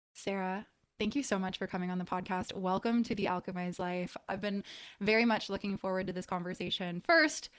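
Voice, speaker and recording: A woman speaks at a fairly quick pace with a medium pitch and an ordinary speaking voice. Her intonation is fairly even. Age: 30s. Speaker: podcast host. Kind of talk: casual interview chat; scripted intro. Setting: at her parents' house.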